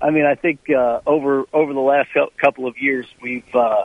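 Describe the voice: The speech moves at a moderate pace with fairly even intonation, recorded in a dry, close sound with no echo. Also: man.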